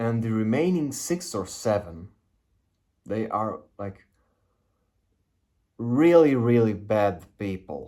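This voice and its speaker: A man's medium-pitched voice with a non-native accent, dark and mellow in tone, very slow, with very wide pitch swings and long, frequent pauses. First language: not English. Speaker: spiritual video creator. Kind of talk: casual monologue. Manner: halting.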